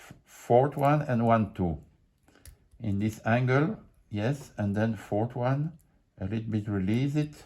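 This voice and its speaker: A man with a French accent, dark and mellow in tone, at medium pitch with ordinary pitch variation and a very slow pace. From France. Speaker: lockpicking hobbyist. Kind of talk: tutorial. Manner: halting.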